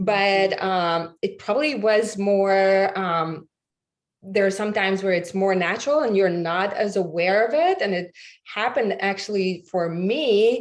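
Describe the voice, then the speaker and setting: A woman with a Latvian accent, medium pitch, ordinary pitch variation and a fairly slow pace. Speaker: podcast guest. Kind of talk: interview. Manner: halting.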